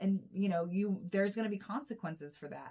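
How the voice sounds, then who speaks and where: A somewhat breathy woman with an American accent speaks with ordinary pitch variation. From United States. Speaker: tarot reader and astrologer. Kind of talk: intuitive tarot reading. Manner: casual, rambling with many fillers.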